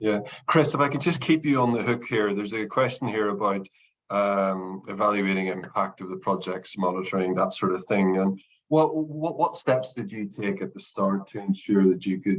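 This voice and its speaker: Speaking with a Northern Irish accent, a man has a fairly low pitch. His intonation is lively. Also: moderate pace. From Northern Ireland. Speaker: consultancy managing director, webinar host. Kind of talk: webinar Q&A moderation.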